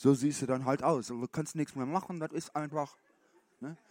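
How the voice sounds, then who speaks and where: With an animated tone and moderate pace, a man speaks on a very clean recording with a silent background and a dry, close sound with no echo. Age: 50s. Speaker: youth pastor. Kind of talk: sermon. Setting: stage with audience.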